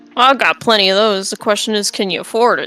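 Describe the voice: In a put-on character voice, a woman speaks at a very fast pace. Her pitch is medium and her sound is gravelly.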